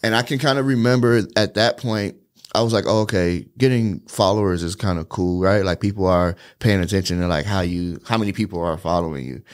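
In a very clean recording with a silent background, a man with a plain, everyday voice talks fairly quickly at a fairly low pitch with ordinary pitch variation. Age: 30s. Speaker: social media agency owner. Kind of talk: casual chat.

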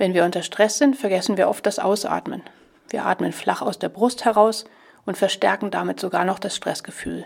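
A woman speaks at a medium pitch with vocal fry. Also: ordinary pitch variation, moderate pace. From southern Lower Saxony, Germany. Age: 50s. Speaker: stress coach and podcast host. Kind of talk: podcast monologue; guided breathing exercise.

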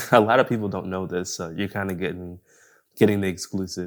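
In a very clean recording with a silent background, a man with an American accent and an unremarkable speaking voice talks at a fairly low pitch with fairly even intonation. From Buffalo, New York. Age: 30s. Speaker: director and photographer. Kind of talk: casual interview chat.

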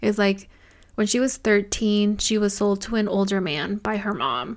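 On a very clean recording with a silent background, a woman speaks at a medium pitch. She has a normal speaking voice, with fairly even intonation and a fairly slow pace. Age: 20s. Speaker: podcast co-host. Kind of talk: casual chat.

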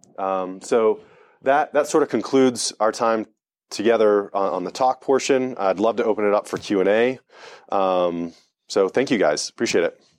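With an American accent, a man talks at a moderate pace in a normal speaking voice with ordinary pitch variation. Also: medium pitch for a man. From US, Delaware. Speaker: sales and marketing executive. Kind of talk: talk to a live audience. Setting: event breakfast with audience.

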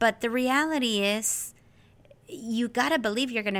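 In a very clean recording with a silent background, a woman with an American accent uses an ordinary speaking voice, fairly high in pitch with ordinary variation. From US, California Central Valley. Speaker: podcast host, teacher. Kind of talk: solo podcast monologue.

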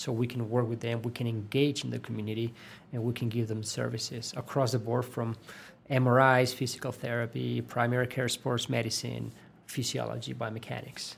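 Somewhat breathy voice of a man, with monotone, flat intonation. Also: medium pitch for a man, moderate pace. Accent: Spanish. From Spain. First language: Spanish. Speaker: sports physiologist. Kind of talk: interview. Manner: hesitant, many fillers and repetitions.

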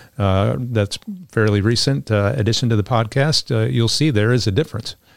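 A plain, everyday voice: a man, fairly low-pitched, at a fairly quick pace with ordinary pitch variation. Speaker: pastor. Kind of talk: panel discussion on Bible topics.

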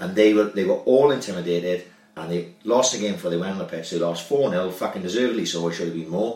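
Very fast speech comes from a man with a Welsh accent. His voice is very deep and low, with ordinary pitch variation. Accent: Swansea Welsh. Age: 30s. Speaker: podcast host, former amateur footballer. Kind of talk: casual chat.

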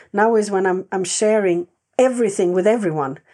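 In a Swedish accent, a woman speaks very fast at a medium pitch with a dark, mellow tone, and the background is quiet. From Sweden. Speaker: animal communicator and sanctuary owner. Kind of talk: interview.

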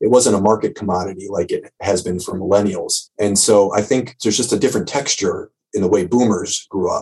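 A man with an American accent, fairly low-pitched and somewhat breathy, talking at a fairly quick clip with hardly any pauses and fairly even intonation. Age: 30s. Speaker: associate professor of humanities and public health. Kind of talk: interview.

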